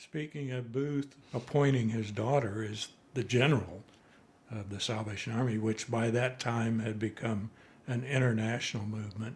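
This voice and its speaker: A somewhat breathy voice with fairly even intonation at a moderate pace. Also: man, medium pitch for a man. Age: 80s+. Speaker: retired father, single parent. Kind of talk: casual interview.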